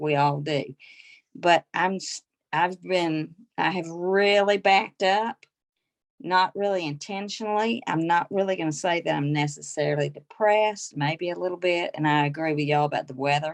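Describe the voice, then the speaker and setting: In a Southern US accent, a woman with a fairly low voice speaks at a moderate pace, with ordinary pitch variation. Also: quiet background. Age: 60s. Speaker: direct sales consultant. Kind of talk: casual group chat.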